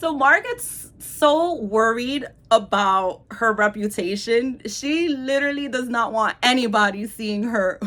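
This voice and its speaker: A woman with a New York accent speaks at a high pitch in a bright, sharp, animated tone with lively intonation. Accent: New York (Bronx) English. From New York City, South Bronx. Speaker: book reviewer and teacher. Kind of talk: casual video monologue.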